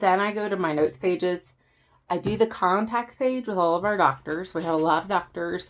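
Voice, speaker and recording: A woman speaks with an American accent at a fairly quick pace. Her pitch is medium, with ordinary variation. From Southern US. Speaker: planner YouTuber. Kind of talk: casual talk to camera.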